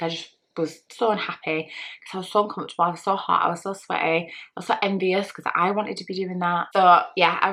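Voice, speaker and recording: A woman speaks with an English accent in a flat, monotone intonation. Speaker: vlogger. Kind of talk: personal vlog monologue. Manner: fast.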